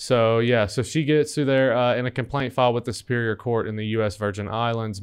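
This man has a normal speaking voice and talks at a fairly quick pace. His intonation stays fairly even. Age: 30s. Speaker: podcast host. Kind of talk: casual chat.

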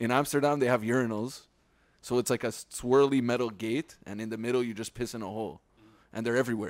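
A man speaks very fast in a Montreal accent at medium pitch. His intonation is fairly even, on a very clean recording with a silent background. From Quebec, Montreal West Island (Pointe-Claire). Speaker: podcast co-host. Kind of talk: casual chat.

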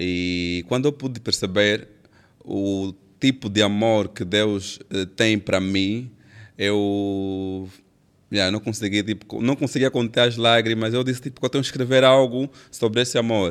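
The recording is very clean, with a silent background, and a man speaks in a normal speaking voice. His pitch is fairly low with ordinary variation, and his pace is fairly slow. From Angola, Benguela. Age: young. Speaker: gospel singer and songwriter. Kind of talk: casual interview.

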